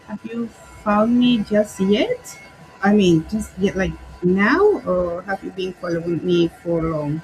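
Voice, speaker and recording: A woman with a Spanish accent talks at a very slow pace and a medium pitch, with ordinary pitch variation. Noticeable background noise is present. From Peru. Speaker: craft artist. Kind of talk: livestream craft tutorial. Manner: relaxed, hesitant with fillers.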